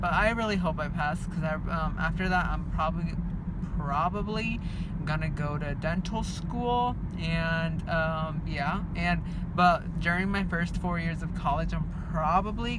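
A man speaks fairly slowly as loud background noise fills the recording. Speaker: vlogger. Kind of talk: casual vlog chat. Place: car. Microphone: phone near.

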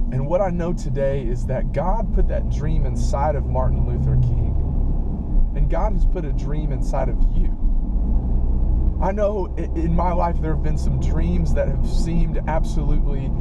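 A man talks fairly slowly against loud background noise, and the sound is dry with no echo. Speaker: preacher. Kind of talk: inspirational talk, sermon-like. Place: car. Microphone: phone near.

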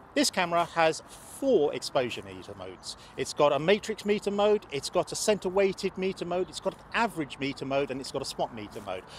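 At a fairly quick pace, a man with a high pitch makes very wide pitch swings and big swings in loudness, the sound dry with no echo and light background noise behind him. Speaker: presenter. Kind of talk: tutorial. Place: open country.

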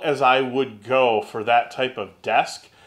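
Quiet background, man's voice. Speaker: woodworking channel host. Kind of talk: casual vlog chat. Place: workshop.

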